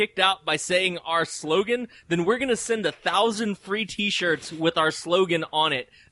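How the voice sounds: Reading in a natural voice, the pitch moving in an ordinary way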